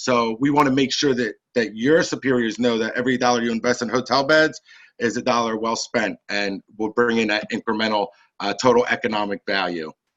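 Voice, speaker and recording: A man at a fairly quick pace, medium pitch, and fairly even intonation over a quiet background. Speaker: company marketing executive. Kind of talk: business presentation. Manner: fast.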